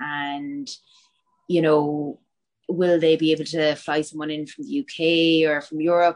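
A woman with a Cork accent, very deep, low pitch, monotone, flat intonation and big swings in loudness. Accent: Cork Irish. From West Cork, Ireland (Bantry). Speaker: MMA fighter. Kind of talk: interview.

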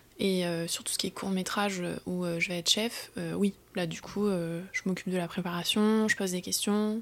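At a moderate pace, a woman speaks in a monotone, flat intonation. Her pitch sits at a medium level. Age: 30s. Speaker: film boom operator. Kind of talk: casual chat.

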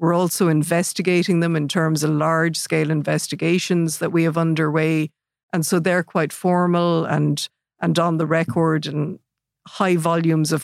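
With an Irish Midlands accent, a woman speaks at a moderate pace in a fairly low pitch, her intonation monotone and flat and her loudness very even. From Ireland, Athlone. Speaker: data protection regulator. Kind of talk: interview. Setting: studio.

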